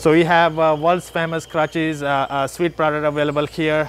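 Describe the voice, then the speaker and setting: In a dry recording with no echo, a man talks at a fairly quick pace. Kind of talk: store tour product explanation. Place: shop. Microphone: phone near.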